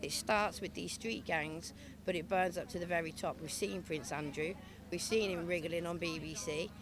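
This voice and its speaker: There is audible room echo around a woman's fairly low voice. She speaks at a moderate pace with fairly even intonation. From England, Leicester. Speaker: protest speaker, activist. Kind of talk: protest speech.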